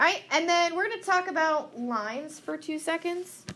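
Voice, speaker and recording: Over noticeable background noise and audible room echo, a woman uses a raised, projected voice with very wide pitch swings at a moderate pace. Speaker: math teacher. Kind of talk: classroom lecture. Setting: classroom. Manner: loud.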